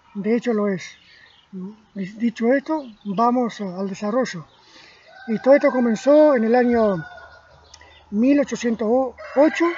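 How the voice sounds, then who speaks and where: A man with an extremely high pitch and ordinary pitch variation speaks at a fairly slow pace over noticeable background noise. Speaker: amateur history lecturer. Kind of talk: spoken history lecture from memory. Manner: slow, deliberate; halting, repeats words.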